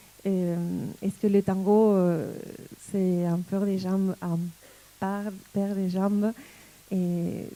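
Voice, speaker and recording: Delivered at a very slow pace, the voice has a dark, mellow tone and monotone, flat intonation. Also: woman. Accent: slight Argentine. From Argentina. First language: Spanish (speaking French). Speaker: tango dancer and teacher. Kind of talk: talk to an audience. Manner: hesitant, many fillers.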